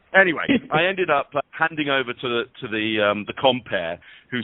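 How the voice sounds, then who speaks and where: With a British accent, this man delivers his words at a moderate pace. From England. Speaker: body language expert and keynote speaker. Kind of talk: interview. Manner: halting, with many fillers and repeats.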